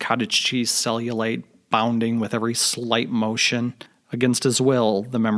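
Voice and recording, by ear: Natural voice for reading aloud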